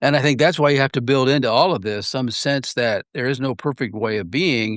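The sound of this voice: At a fairly quick pace, a man speaks with ordinary pitch variation and a fairly bright tone, the sound dry and close with no echo. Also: medium pitch for a man.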